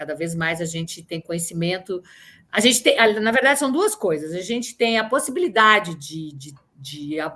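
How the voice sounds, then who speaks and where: A woman talks at a moderate pace. The recording is very clean and the background is silent. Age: 60s. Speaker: actress. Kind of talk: interview. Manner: halting.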